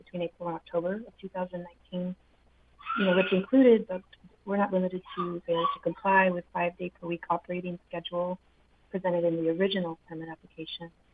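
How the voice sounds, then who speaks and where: Over noticeable background noise, a soft-spoken woman with a medium pitch talks at a very fast pace. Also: big swings in loudness. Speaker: legislative staff member. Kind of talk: public testimony.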